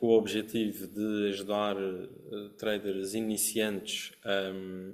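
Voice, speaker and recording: The speaker has a Madeiran accent. The intonation is monotone and flat. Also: man. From Madeira, Portugal. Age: 30s. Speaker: trading educator, academy founder. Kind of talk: webinar presentation.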